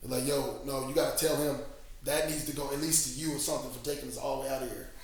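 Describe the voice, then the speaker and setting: With an American accent, a man talks at a very fast pace in a fairly high, monotone, flat voice, with audible room echo and noticeable background noise. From Missouri. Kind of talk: interview.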